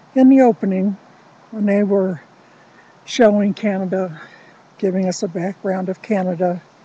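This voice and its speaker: A woman speaks at a medium pitch and a moderate pace, with fairly even intonation and long, frequent pauses. Her tone is dark and mellow, and somewhat breathy. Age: 60s. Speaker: vlogger. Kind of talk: casual monologue.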